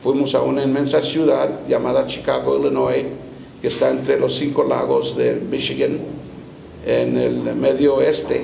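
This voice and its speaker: A man at a fairly slow pace and very even loudness, with noticeable background noise and audible room echo. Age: 70s. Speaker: bishop and pastor. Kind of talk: interview.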